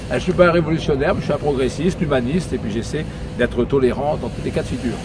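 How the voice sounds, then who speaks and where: Amid noticeable background noise, a man speaks at a very fast pace with fairly high pitch, ordinary pitch variation and big swings in loudness. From northern France, Pas-de-Calais. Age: 60s. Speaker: politician. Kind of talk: casual interview. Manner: hesitant, many fillers.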